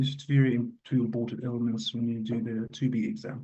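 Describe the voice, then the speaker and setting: At a moderate pace, a man talks with a somewhat breathy sound. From Egypt. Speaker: radiologist and teacher. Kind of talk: lecture.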